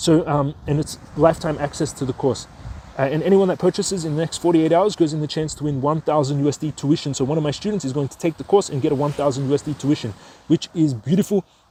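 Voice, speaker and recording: A man at a very fast pace, fairly high in pitch, with ordinary pitch variation. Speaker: stock investing educator. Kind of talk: tutorial.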